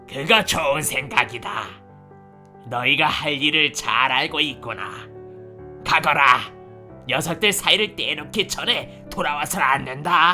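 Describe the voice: A man puts on a character voice, pitched fairly high, at a moderate pace with long, frequent pauses. Clear music plays in the background.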